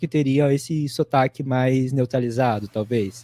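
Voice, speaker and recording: The sound is dry and close, without any echo. A man talks, his pitch varying in an ordinary way. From São Paulo, Brazil. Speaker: writer, podcaster. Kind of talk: online panel discussion.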